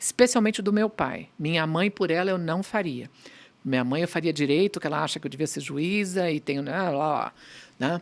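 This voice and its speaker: The speaker has an unremarkable speaking voice with ordinary pitch variation at a moderate pace. The recording is very clean, with a silent background. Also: woman. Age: 60s. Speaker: pediatrician and pharmaceutical executive. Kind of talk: podcast interview.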